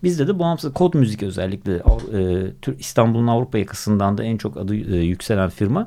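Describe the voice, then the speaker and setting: A man talks at a fairly quick pace with a fairly low pitch. His voice moves in very wide pitch swings. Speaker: music journalist and radio presenter. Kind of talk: casual interview chat. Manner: hesitant with many filler sounds.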